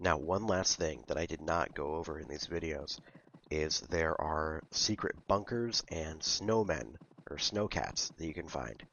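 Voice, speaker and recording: A man speaks with a very deep, low pitch and vocal fry. His pace is fairly slow. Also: ordinary pitch variation. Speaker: gaming youtuber. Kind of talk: let's play commentary. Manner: hesitant with fillers.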